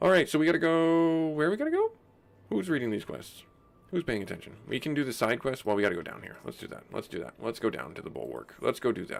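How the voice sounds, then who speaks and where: There are big swings in loudness as a man rushes along at a very fast pace. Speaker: gaming streamer. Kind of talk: casual live stream commentary.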